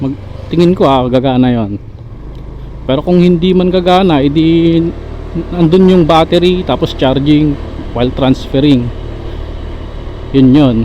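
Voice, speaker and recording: The speech moves at a fairly slow pace with long, frequent pauses, over noticeable background noise. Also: man, fairly high pitch for a man, ordinary pitch variation. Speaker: motorcycle vlogger testing action camera. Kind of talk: casual vlog while riding. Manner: speaking more softly than usual.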